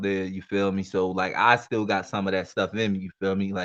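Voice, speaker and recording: A man with a Baltimore accent and fairly low pitch talks at a fairly quick pace in a bright, sharp tone against a quiet background. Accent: West Baltimore. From West Baltimore. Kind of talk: casual, slangy.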